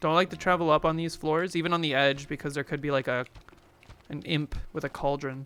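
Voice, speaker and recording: Loud and fairly quick, a man speaks with a bright, sharp tone. His pitch is fairly high and his intonation fairly even. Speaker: gaming streamer. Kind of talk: live gameplay stream chat. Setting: live stream.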